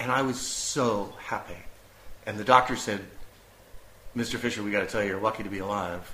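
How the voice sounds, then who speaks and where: Ordinary pitch variation marks this voice with an American accent, heard over noticeable background noise. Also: man. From US. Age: 50s. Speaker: illness survivor, former DJ and actor. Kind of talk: interview, personal testimony. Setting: at home.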